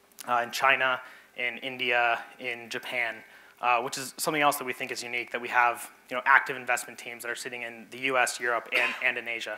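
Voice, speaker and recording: Speaking at a very fast pace with an American accent, a man keeps his medium-pitched voice in a monotone, flat intonation. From US, Arizona. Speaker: venture capital investor. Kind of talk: pitch presentation. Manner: hesitant with fillers.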